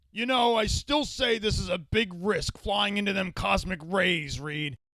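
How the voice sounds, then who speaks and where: A man's raspy, put-on character voice, high-pitched, raised and projected, with lively intonation at a moderate pace. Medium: audio drama. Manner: folksy, gruff.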